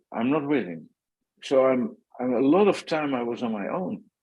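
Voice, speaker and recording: A medium-pitched man with a Dutch accent, very wide pitch swings and a moderate pace, against a quiet background. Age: 60s. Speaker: former pro cyclist and consultant. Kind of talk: podcast interview. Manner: halting.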